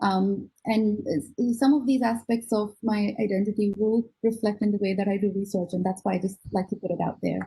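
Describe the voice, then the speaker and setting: Somewhat breathy with a dark, mellow tone, a woman talks at medium pitch with ordinary pitch variation. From India (Gujarat) and Australia (Sydney). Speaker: neuroscientist. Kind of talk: lecture. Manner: halting, many fillers.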